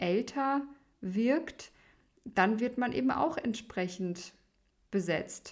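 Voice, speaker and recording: A woman with a fairly high pitch and ordinary pitch variation, at a very slow pace. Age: 30s. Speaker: opera singer and podcast host. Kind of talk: solo podcast monologue.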